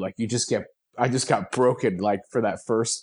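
A man with a normal speaking voice talks at a moderate pace in a fairly low pitch, with fairly even intonation against a quiet background. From New Jersey. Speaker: weight loss guest. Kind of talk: casual interview chat.

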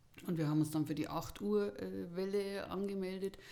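This woman has an ordinary speaking voice, pitched fairly low, with lively intonation. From Bavaria, Erding district. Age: 40s. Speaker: podcast guest, hobby hiker. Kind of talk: casual interview, personal story.

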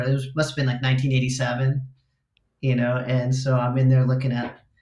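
The voice is somewhat breathy, in an American accent at a moderate pace. Audible room echo is present. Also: man. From Los Angeles suburbs, California. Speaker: guitarist. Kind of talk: casual chat.

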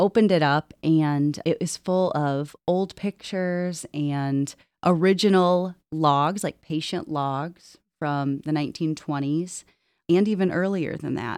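Set against a quiet background with a dry, close sound and no echo, a woman with a Midwestern American accent speaks at a fairly low pitch with fairly even intonation. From northwest Ohio. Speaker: hospital operations executive. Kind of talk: casual interview. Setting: auditorium.

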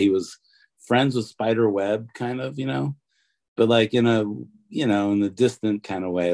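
The man's dark, mellow tone sits at a fairly low pitch as he talks at a moderate pace. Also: quiet background. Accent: American. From US Midwest (Detroit, Michigan). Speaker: tattoo artist. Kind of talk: interview.

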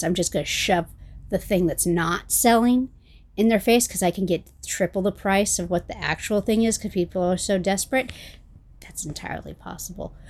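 Soft-spoken and fairly quick, a woman talks at a medium pitch. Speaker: podcast host. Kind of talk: casual chat.

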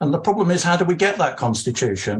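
There is a somewhat breathy quality to this man's voice. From outside Scotland, moved in recent years. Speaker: audience member. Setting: video call.

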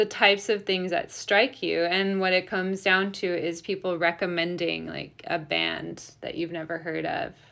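On a very clean recording with a silent background, a woman with a Midwestern American accent speaks at medium pitch in a bright, sharp tone, with ordinary pitch variation and a fairly slow pace. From US Midwest, Metro Detroit (Polish immigrant family). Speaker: radio DJ. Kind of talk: casual interview.

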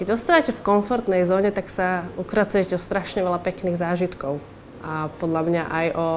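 A woman speaks in a normal speaking voice at medium pitch. Her intonation is fairly even and her pace moderate. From Slovakia. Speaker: yachtswoman and financial advisor. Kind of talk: interview testimony.

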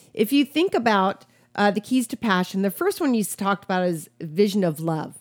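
A woman with an American accent talks at a fairly quick pace in a normal speaking voice, medium in pitch. The recording is very clean, with a silent background and a dry, close sound with no echo. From US Midwest, Wisconsin. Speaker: pastor and podcast co-host. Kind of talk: casual chat.

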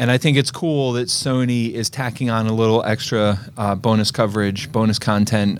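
This man has an ordinary speaking voice with an American accent. His pitch is medium, with ordinary variation. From Eastern Pennsylvania. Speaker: podcast host, film reviewer. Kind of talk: casual chat.

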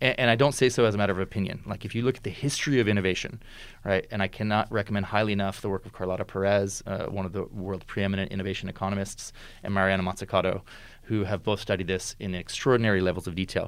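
The man, with an American accent, talks at a very fast pace and a fairly low pitch. His intonation stays fairly even on a very clean recording with a silent background. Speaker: futurist. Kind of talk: interview conversation. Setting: in-person recording, wearing a face mask.

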